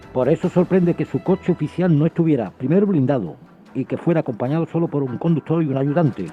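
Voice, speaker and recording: With music in the background, the delivery runs at a very fast pace and shows ordinary pitch variation. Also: man, fairly high pitch for a man. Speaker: co-host in radio conversation. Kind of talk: radio discussion.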